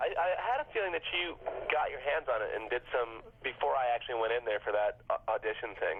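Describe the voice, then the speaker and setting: Speech moves at a fairly quick pace. Noticeable background noise is present. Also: man. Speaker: animated show creator and voice actor. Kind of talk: casual DVD commentary chat.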